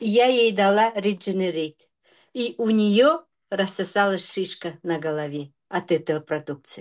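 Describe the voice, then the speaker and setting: Against a quiet background, a woman talks fairly slowly in an ordinary speaking voice, medium in pitch with lively intonation. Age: 50s. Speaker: product testimonial giver. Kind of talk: testimony.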